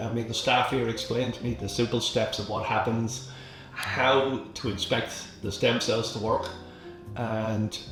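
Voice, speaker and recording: A man with an Irish accent speaks at a moderate pace and medium pitch in a monotone, flat intonation, with audible room echo and noticeable background noise. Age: 60s. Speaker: clinic client. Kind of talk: testimony.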